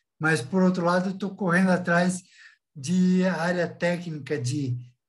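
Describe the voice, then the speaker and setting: A man's high-pitched voice with audible room echo. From Brazil, São Paulo city. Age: 60s. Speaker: entrepreneur, former state secretary. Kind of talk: casual chat. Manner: halting; animated.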